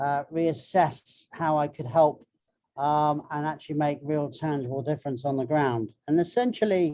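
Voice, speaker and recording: Someone with a British accent speaks over a quiet background. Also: moderate pace. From Britain. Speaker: marine biologist and filmmaker. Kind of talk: panel talk. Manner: halting.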